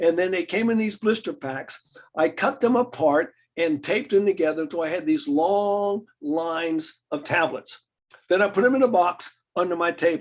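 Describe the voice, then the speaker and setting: This man has an American accent and a high pitch. He talks at a moderate pace with lively intonation. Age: 70s. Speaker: health lecturer. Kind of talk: lecture. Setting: video call.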